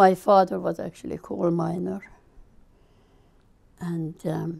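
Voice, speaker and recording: A woman speaks with a Hungarian accent. Her pace is fairly slow. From Hungary. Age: 70s. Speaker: refugee interviewee. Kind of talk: interview testimony.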